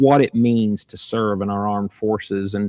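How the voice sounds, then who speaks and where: A man's fairly low voice comes through on a very clean recording, the background completely silent. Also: dry, close sound with no echo. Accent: southern Illinois. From southern Illinois. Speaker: governor candidate and farmer. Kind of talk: campaign livestream chat.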